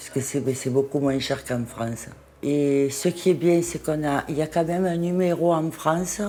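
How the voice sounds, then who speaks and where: A woman speaks with a very deep, low pitch. Her pitch variation is ordinary and her pace is moderate. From Marseille, France. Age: 60s. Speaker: cosmetic surgery patient. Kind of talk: interview answer.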